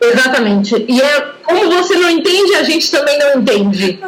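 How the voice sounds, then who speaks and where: Over noticeable background noise, a woman with a high voice talks at a moderate pace with very wide pitch swings. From Brazil, São Paulo state. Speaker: language teacher. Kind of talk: casual conversation practice.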